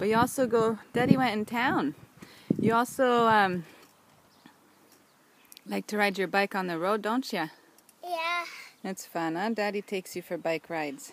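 A woman speaks at a moderate pace, her pitch swinging very widely, with long, frequent pauses. The sound is dry with no echo. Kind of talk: casual home video chat with a child. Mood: warm, playful, encouraging. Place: garden. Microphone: phone near.

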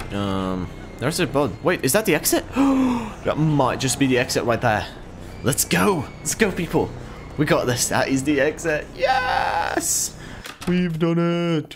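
Music plays in the background as a man speaks. His pace is fairly slow, with long, frequent pauses. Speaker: gaming streamer. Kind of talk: excited gameplay commentary. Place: home room.

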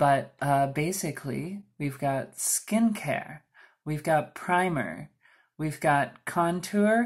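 A woman's very deep, low voice with lively intonation at a very slow pace, against a quiet background. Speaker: beauty vlogger; makeup tutorial host. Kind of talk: tutorial. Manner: soft-spoken. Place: home room. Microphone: camera far.

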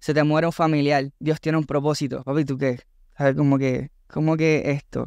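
In a Puerto Rican accent, a man speaks with monotone, flat intonation, in a dry sound with no echo over a quiet background. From Puerto Rico. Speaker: content creator and entertainer; content creator. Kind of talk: casual chat. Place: studio. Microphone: studio mic.

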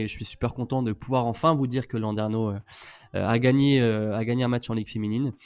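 On a very clean recording with a silent background, a man with a normal speaking voice at a medium pitch talks at a fairly quick pace. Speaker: co-host. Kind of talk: casual chat.

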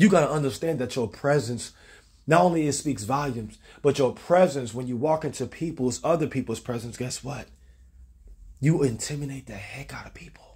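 Animated in tone and somewhat breathy, a man talks at a fairly quick pace and fairly high pitch, with ordinary pitch variation and big swings in loudness over a quiet background. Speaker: preacher. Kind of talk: sermon. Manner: rhythmic, exhortational, call-and-response cadence. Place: kitchen. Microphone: phone near.

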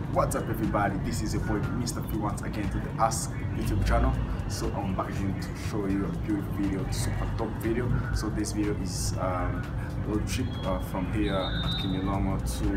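Background music behind a man's fairly quick delivery. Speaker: travel vlogger. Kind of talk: casual vlog chat. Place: street. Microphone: phone near.

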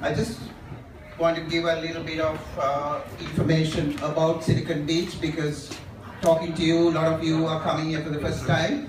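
A man speaks at a moderate pace in a fairly high pitch, his intonation monotone and flat. Noticeable background noise and audible room echo fill the recording. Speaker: meetup organizer. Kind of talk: live event hosting. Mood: casual, relaxed. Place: bar.

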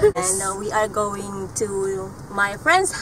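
Very slowly and with lively intonation, a woman speaks in a dry sound with no echo over light background noise. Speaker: vlogger. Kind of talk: casual vlog chat. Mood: cheerful, laughing. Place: car. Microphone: phone near.

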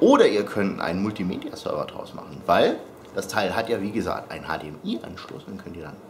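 Against light background noise, a man speaks at a fairly quick pace. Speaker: vlogger. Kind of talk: casual vlog chat. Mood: playful, joking. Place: home room.

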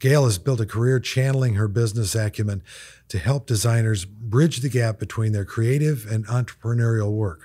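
Against a quiet background, a man speaks at a moderate pace in a somewhat breathy voice with a dark, mellow tone. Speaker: podcast host. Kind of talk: podcast intro and sponsor read. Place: studio. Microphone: studio mic.

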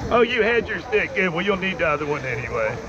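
A man is speaking. His pace is moderate, with noticeable background noise. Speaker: river rafting guide. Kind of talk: shouted instructions. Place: boat. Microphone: helmet.

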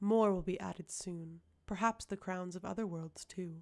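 A put-on character voice, female-sounding and hissing, at a middle pitch and a moderate pace. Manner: menacing.

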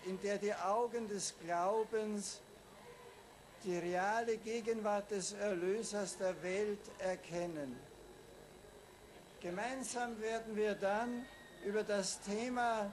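A man speaks at a high pitch and a very slow pace, leaving long, frequent pauses. His intonation is fairly even, with light background noise. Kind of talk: formal speech. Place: boat. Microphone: podium.

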